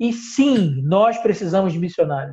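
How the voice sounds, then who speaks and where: The man's voice has a dark, mellow tone. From northern Brazil, Belém do Pará. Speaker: missionary. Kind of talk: interview. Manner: halting, with frequent fillers.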